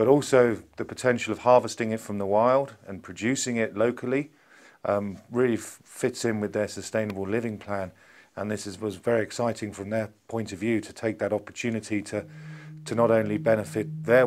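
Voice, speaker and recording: A man speaks at a fairly quick pace with a fairly low pitch and ordinary pitch variation. Light background noise is present. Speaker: interviewee. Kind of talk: interview answer. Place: office. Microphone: lapel.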